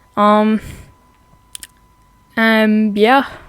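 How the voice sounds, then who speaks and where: This woman's pitch is fairly high, and noticeable background noise can be heard. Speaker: YouTuber and digital artist. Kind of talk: casual commentary video. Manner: halting, many fillers.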